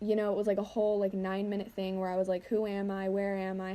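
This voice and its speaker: A woman's medium-pitched, dark and mellow voice at a very fast pace. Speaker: lifestyle vlogger. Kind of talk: casual vlog voiceover. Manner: rambling with fillers.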